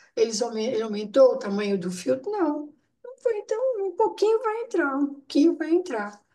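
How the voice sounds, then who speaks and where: With a high pitch and very wide pitch swings, a woman speaks at a moderate pace in a dark, mellow tone, her loudness swinging widely. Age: 70s. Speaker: nephrology bone pathology specialist. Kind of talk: case discussion webinar. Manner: informal, conversational.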